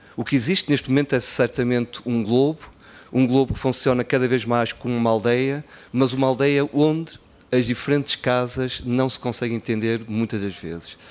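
The man's pitch sits in the medium range and his intonation is fairly even. He keeps a moderate pace. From Portugal, Porto (born in Guinea-Bissau); Portugal. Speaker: NGO executive director. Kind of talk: conference speech. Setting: conference stage with audience. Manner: relaxed, smiling delivery. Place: hall. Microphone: podium.

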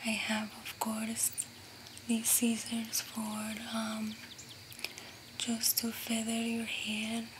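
A woman's monotone, flat delivery at a very slow pace, with noticeable background noise. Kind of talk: ASMR roleplay talk to viewer. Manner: soft, gentle ASMR speech close to the mic. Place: home room.

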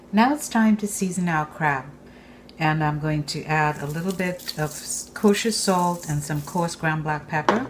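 A woman in a normal speaking voice at a fairly slow pace, over light background noise. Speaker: home cook host. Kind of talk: tutorial. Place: kitchen.

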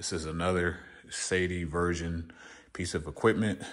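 Against a quiet background, a man speaks in a very deep, low pitch. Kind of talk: casual vlog chat. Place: garage. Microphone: phone near.

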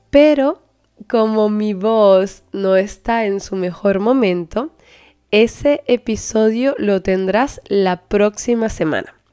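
On a very clean recording with a silent background, a woman with a dark, mellow tone and fairly high pitch speaks very slowly, with ordinary pitch variation. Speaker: language teacher and podcast host. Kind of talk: scripted podcast intro.

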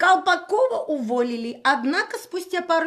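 The pitch swings very widely. It is a woman talking. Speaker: political commentator. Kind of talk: live stream monologue. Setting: live video stream at night.

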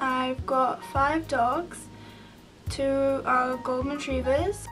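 Over music in the background, a woman speaks at a very slow pace with high pitch and fairly even intonation. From South Africa. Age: young. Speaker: student vlogger. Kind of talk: casual talk to camera. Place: home room. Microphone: webcam.

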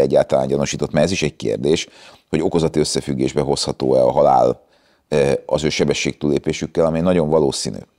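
Over a quiet background, a man talks at a very fast pace in a very deep, low, dark and mellow voice with vocal fry, monotone, flat intonation and very even loudness. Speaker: traffic lawyer. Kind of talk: interview. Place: garage. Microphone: lapel.

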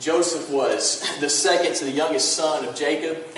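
Here a man talks at a fairly slow pace. Light background noise and audible room echo are present. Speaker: pastor. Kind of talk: sermon. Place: church.

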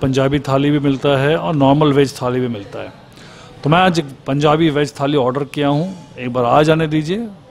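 With ordinary pitch variation, a man speaks over faint music in the background. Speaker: food vlogger. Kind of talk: casual vlog chat. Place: cafe. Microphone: lapel.

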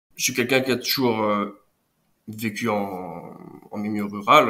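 In a bright, sharp tone, the speaker moves at a very slow pace with fairly even intonation. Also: man. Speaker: nature photographer. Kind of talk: casual interview. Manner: halting, hesitant.

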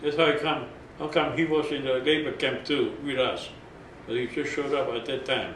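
Light background noise and audible room echo around a man talking in a flat monotone. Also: moderate pace. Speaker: oral history interviewee, camp survivor. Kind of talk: oral history interview, recounting personal story to camera. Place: home room.

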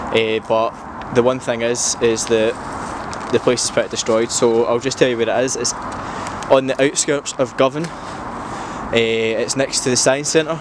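A man speaks at a moderate pace with fairly even intonation and long, frequent pauses. The sound is dry with no echo, though background noise is noticeable. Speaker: vlogger. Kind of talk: casual vlog chat. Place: open country. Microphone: phone near.

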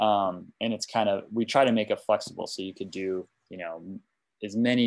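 A man with an American accent speaks at a moderate pace in a fairly low voice with fairly even intonation. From US Midwest, Wisconsin. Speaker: tech company CEO. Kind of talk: software demo; product demo explanation. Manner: halting. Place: home room. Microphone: video call.

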